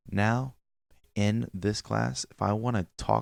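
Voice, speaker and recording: A normal speaking voice from a man, fairly low in pitch with ordinary pitch variation, in a dry, close sound with no echo. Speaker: coding tutorial youtuber. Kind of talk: tutorial.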